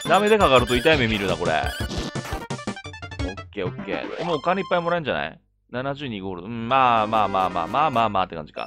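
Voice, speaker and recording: A man at a medium pitch with a Tsugaru accent, very fast pace and hardly any pauses, very wide pitch swings and big swings in loudness, over music in the background. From Tsugaru, Aomori, northern Japan. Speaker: video game streamer. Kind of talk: casual video game commentary.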